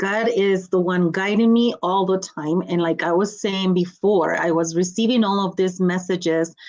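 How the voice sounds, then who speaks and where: Speaking at a fairly slow pace, a woman keeps a medium pitch and fairly even intonation. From Mexico, Guanajuato. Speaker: motivational speaker and coach. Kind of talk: podcast interview.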